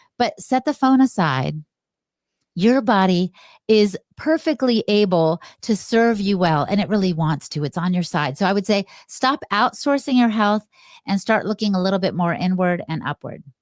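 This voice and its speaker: In a very clean recording with a silent background and a dry, close sound with no echo, an ordinary speaking voice moves at a moderate pace with lively intonation. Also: woman, medium pitch for a woman. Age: 60s. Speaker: health podcaster. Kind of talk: interview.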